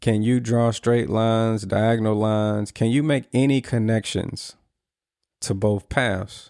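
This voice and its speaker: A man with a plain, everyday voice talks at a fairly slow pace and fairly low pitch, with fairly even intonation and very even loudness, in a very clean recording with a silent background. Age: 30s. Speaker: podcast host. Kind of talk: reflective podcast monologue. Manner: casual, earnest.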